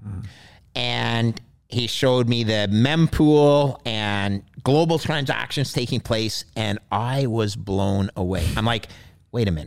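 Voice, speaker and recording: With a Canadian accent, a man speaks fairly slowly in an unremarkable speaking voice of medium pitch. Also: ordinary pitch variation. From Canada, Montreal. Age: 50s. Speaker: retired bond trader. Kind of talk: interview conversation. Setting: studio.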